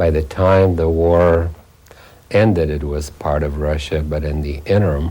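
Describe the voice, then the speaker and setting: Speaking at a fairly slow pace, a man uses a very deep, low voice and fairly even intonation. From Romania. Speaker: Holocaust survivor. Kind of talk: testimony.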